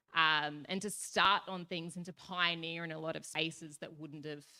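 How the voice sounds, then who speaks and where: This woman speaks in an Australian accent at a fairly quick pace. Her pitch is fairly low for a woman, her intonation fairly even, and her tone bright and sharp. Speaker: youth panelist. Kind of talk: panel discussion. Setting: stage with audience. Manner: loud.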